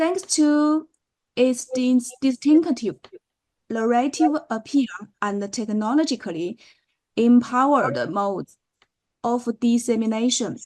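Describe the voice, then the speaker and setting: A woman talks with a Chinese accent at a very slow pace. Her high-pitched voice has lively intonation. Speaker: professor. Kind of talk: lecture. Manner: halting.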